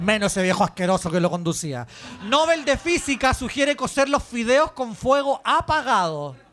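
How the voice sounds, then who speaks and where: A man's animated, extremely high-pitched voice with a Chilean accent, very wide pitch swings and a moderate pace. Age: 40s. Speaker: podcast host. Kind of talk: casual chat. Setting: live show in a bar with audience.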